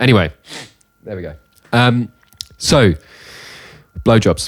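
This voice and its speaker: The pace is fairly slow. The intonation is lively. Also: man, fairly low pitch for a man. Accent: British. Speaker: music podcast co-host; music teacher. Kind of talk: casual chat.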